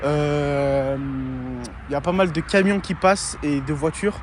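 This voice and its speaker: A man speaks with ordinary pitch variation. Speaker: RC hobbyist YouTuber. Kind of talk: casual video presentation. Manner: hesitant, many fillers.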